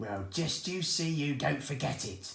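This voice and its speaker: A man uses a put-on character voice, fairly high-pitched, shrill and growling. His pitch swings very widely. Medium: read story. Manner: bossy, suspicious.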